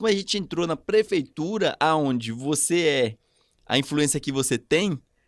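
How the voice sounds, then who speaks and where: A man's fairly high-pitched, normal speaking voice, fairly slow with lively intonation, dry and close with no echo, in a very clean recording with a silent background. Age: 30s. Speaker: podcast guest, networking expert. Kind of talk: casual chat.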